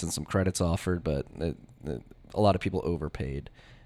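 Over a very clean recording with a silent background, a man speaks with an American accent at a very fast pace. His pitch is very deep and low, with ordinary pitch variation. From Philadelphia, US. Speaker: bitcoin podcaster and newsletter writer. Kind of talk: casual interview chat. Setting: conference set.

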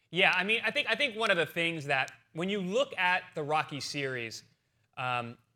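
On a very clean recording with a silent background, a man talks at a fairly quick pace. He has a fairly high pitch and an ordinary speaking voice. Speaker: former boxer, podcast host. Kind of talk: casual chat. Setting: studio.

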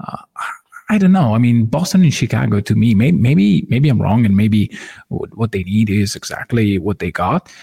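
In a dark, mellow tone that is somewhat breathy, a man speaks at a moderate pace with very wide pitch swings, the sound dry and close with no echo. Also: medium pitch for a man. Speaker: basketball analyst. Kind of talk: casual sports discussion. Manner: halting, filler-heavy.

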